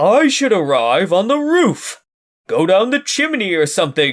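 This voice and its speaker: In a very clean recording with a silent background, a man puts on a character voice, high-pitched with very wide pitch swings, at a moderate pace. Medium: read story.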